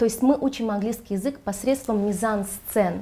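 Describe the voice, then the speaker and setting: Her tone is dark and mellow, and somewhat breathy. This woman speaks at medium pitch with fairly even intonation. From Riga, Latvia (born in Ganja, Azerbaijan). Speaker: children's theatre director and drama teacher. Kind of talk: interview. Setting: hotel, filmed studio-style.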